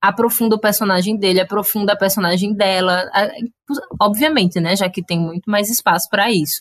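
Speaking with a strong Cariri accent, a woman keeps a medium pitch and fairly even intonation at a fairly quick pace. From Cariri, Ceará, Brazil. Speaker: podcast guest, film fan. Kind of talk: casual chat.

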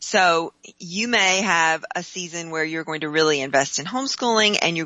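Speaking at a moderate pace, a woman has a fairly low-pitched, unremarkable speaking voice with ordinary pitch variation. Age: 50s. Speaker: homeschooling mom and marketing specialist. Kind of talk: interview. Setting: phone call.

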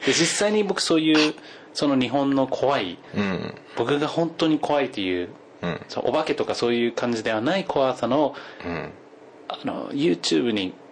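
A man with an English accent and a medium-pitched voice, very wide pitch swings, a moderate pace, and noticeable background noise. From US West Coast. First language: English (speaking Japanese). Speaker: podcast guest. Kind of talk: casual chat.

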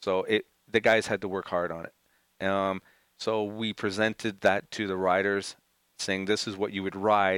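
Monotone, flat intonation from a man at a fairly low pitch and moderate pace, in a dry, close sound with no echo. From Montreal, Canada. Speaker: motocross race team manager. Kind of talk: casual interview. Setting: studio.

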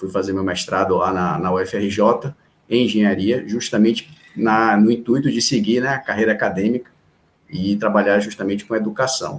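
This man's fairly low voice keeps a moderate pace and fairly even intonation. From Salvador, Bahia, Brazil. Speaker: education official. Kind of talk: interview. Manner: halting.

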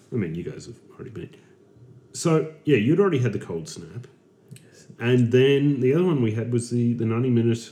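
A man with an Australian accent talks fairly quickly in a dark, mellow tone at medium pitch, his intonation lively. His loudness swings a lot, and long pauses come often. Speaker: podcast host. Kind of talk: casual chat.

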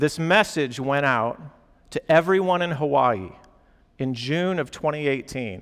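A man talks at a moderate pace in an ordinary speaking voice. His pitch is fairly high, with ordinary pitch variation. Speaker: campus pastor. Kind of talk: sermon. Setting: church gathering with students.

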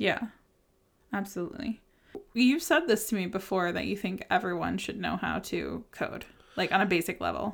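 Vocal fry in a woman's medium-pitched voice, long, frequent pauses, a very clean recording with a silent background. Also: ordinary pitch variation. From United States. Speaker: podcast host. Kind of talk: casual interview chat. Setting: recording in person, shared microphone. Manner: fast talker.

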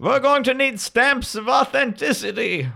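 Using a put-on character voice, a man talks at an extremely high pitch and a moderate speed. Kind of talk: comic overacting. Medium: actual play. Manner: melodramatic, self-pitying.

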